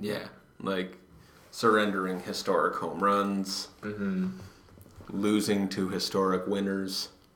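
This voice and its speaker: Quiet and flat in intonation, a man with a fairly low pitch speaks very slowly with long, frequent pauses over noticeable background noise. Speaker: baseball podcast co-host. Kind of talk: casual chat. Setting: library study room. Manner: hushed.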